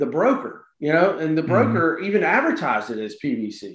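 Here a man talks in a Southern US accent. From South Carolina, Florence. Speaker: real estate investor. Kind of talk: casual interview. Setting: remote recording.

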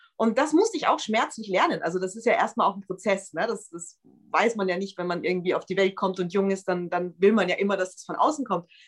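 The voice belongs to a woman with a medium pitch. She talks at a fairly quick pace. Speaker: pop singer and songwriter. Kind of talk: casual interview. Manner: animated.

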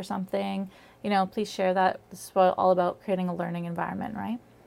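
Speaking at a fairly quick pace, a woman talks at a medium pitch. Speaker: sex educator and live podcast host. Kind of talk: educational live podcast talk. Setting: live stream broadcast. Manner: fast.

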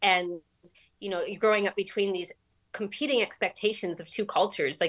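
In a normal speaking voice with a Canadian accent, a woman talks at a fairly quick pace with ordinary pitch variation. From Canada. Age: 40s. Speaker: writer. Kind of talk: interview.

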